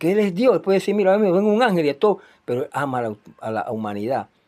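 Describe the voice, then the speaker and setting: In a very clean recording with a silent background, a man with a dark, mellow tone talks at a moderate pace, his pitch swinging very widely. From Panama (Chiriquí). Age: 60s. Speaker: preacher. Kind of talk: sermon.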